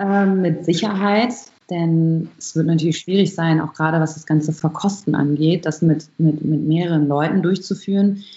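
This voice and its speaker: Fairly low in pitch and somewhat breathy, a woman speaks at a moderate pace. Her intonation is fairly even. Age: 20s. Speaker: barista and coffee roaster. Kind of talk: interview.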